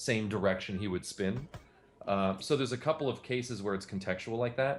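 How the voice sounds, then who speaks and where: This man has an ordinary speaking voice, fairly low in pitch, talking at a fairly quick pace with ordinary pitch variation. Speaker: game developer and animator. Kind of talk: casual chat.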